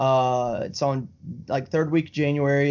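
Speaking with a Southern US accent, this man has a fairly high pitch and a monotone, flat intonation at a fairly quick pace. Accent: Southern American. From Alabama, US South. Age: 20s. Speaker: video game streamer. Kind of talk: casual chat.

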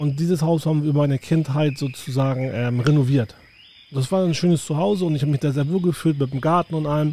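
At a very fast pace, a man with a dark, mellow tone and fairly high pitch sounds somewhat breathy, his intonation fairly even. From northern Germany, southern Hamburg. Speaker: podcast host, tour guide. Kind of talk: casual chat.

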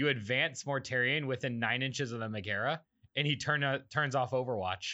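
A man speaks fairly quickly in a normal speaking voice, at a medium pitch with ordinary pitch variation. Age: 20s. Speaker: podcast host. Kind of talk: casual chat.

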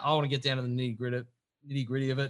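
Here is a man with an Australian accent and a fairly high pitch. His tone is bright and sharp. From Victoria, Australia. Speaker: podcast host. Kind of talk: casual chat.

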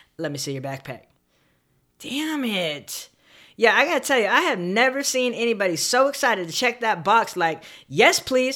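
An American accent with vocal fry, a bright, sharp tone and very wide pitch swings, in a very clean recording with a silent background. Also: woman, fairly high pitch for a woman, moderate pace. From Southern California, San Bernardino. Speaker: podcast host. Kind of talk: solo storytelling monologue. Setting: home office recording, alone.

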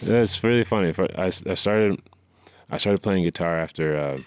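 On a very clean recording with a silent background, a man with a very deep, low pitch and ordinary pitch variation talks at a fairly quick pace. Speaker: musician. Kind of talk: casual chat.

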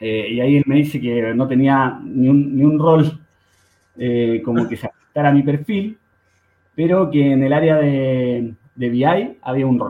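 Fairly high for a man, his voice shows ordinary pitch variation. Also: fairly slow pace. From Santiago, Chile (Conchalí, north Santiago). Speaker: fintech co-founder. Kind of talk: interview. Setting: studio. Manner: halting.

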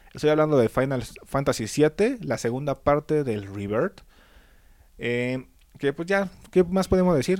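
Lively intonation at a fairly slow pace in a Mexican accent, with a dry, close sound and no echo. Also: man, fairly high pitch for a man. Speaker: podcast host. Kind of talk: casual chat.

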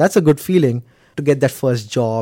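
A man speaks with a Gujarati accent at medium pitch and a moderate pace, his tone dark and mellow. His intonation is lively, and the recording is very clean with a silent background. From India, Mumbai. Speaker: IT analyst and former international student. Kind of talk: interview. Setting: studio.

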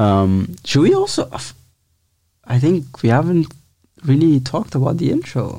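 With an Italian accent, a man speaks at a moderate pace in a fairly high pitch, his tone dark, mellow and somewhat breathy. His intonation is lively, broken by long, frequent pauses. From Italy. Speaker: podcast co-host. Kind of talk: casual chat.

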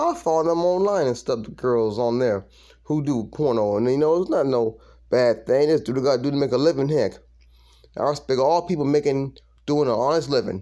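A man's fairly high-pitched voice with a dark, mellow tone, ordinary pitch variation and a fairly quick pace, over a quiet background. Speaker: stand-up comedian. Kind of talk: stand-up comedy. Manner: animated, laughing at his own jokes; casual, rambling, conversational.

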